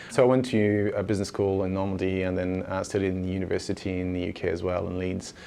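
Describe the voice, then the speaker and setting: A man with a French accent, very deep and low in pitch, with a dark, mellow tone, flat monotone delivery at a very fast pace with hardly any pauses, and audible room echo. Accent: French accent, obvious. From France. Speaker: former banker, startup founder. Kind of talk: interview. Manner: hesitant, many fillers.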